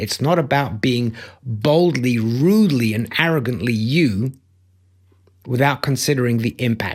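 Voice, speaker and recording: A man with a British accent speaks at medium pitch and a moderate pace, with ordinary pitch variation. The recording is very clean, with a silent background. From Belgium. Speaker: life coach and motivational speaker. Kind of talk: motivational talk. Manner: emphatic.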